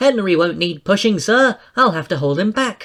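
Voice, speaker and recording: This is a put-on character voice at a middle pitch. The pace is moderate. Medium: read story.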